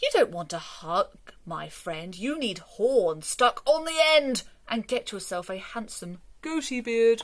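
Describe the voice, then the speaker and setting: A woman puts on a character voice, talking at a fairly slow pace with a fairly high pitch. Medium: read story.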